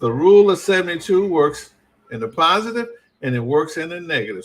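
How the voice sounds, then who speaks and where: This man has an American accent and an unremarkable speaking voice. He talks at a moderate pace with lively intonation. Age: 60s. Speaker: financial educator. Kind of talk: live stream talk. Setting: live stream. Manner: casual, repeated 'right?' tags.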